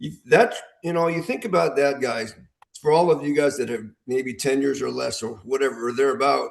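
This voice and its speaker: Vocal fry and very wide pitch swings in a man's fairly high voice. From US Midwest, Illinois. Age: 60s. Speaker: veteran armwrestler. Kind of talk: casual podcast chat.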